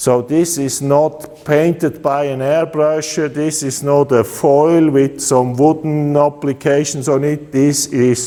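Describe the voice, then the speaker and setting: A man with a Swiss accent at a very slow pace, with fairly even intonation and noticeable background noise. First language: Swiss German. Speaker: custom motorcycle builder. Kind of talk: product presentation. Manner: halting, with many filler uhs.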